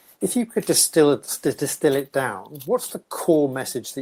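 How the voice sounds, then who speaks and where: On a very clean recording with a silent background, a man with an ordinary speaking voice talks at a moderate pace, his fairly high pitch rising and falling with lively intonation. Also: hardly any pauses, big swings in loudness. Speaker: podcast host. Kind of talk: podcast interview questions.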